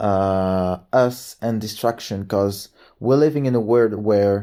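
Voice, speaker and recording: With a French accent and a dark, mellow tone, a man speaks in fairly even intonation on a very clean recording with a silent background. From France. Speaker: book and movie reviewer. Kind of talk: casual monologue review. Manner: halting, with repetitions and fillers.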